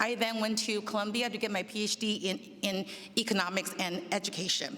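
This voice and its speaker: Against noticeable background noise, a woman with a slight non-native accent speaks at a fairly high pitch. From immigrant, grew up in the Bay Area from age ten. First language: not English. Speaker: school district administrator. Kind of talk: personal introduction speech. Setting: public meet and greet event. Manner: informal with hesitations.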